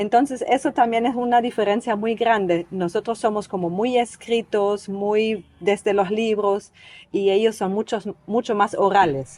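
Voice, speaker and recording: A plain, everyday voice, somewhat slow, its pitch varying in an ordinary way. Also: woman, fairly high pitch for a woman. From East Germany. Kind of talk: podcast interview answer.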